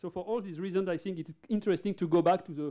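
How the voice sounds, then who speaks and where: Talking very fast, a man speaks in a dark, mellow tone. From France. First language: French. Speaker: neurologist. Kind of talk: conference lecture. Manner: halting, with many fillers and repeated words.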